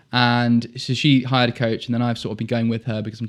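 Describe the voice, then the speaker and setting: In a very clean recording with a silent background, a man speaks very fast at a medium pitch with monotone, flat intonation. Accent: southern English. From southern England, Dorset (Poole). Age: 20s. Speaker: military officer and fitness coach. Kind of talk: podcast interview. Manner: casual, conversational.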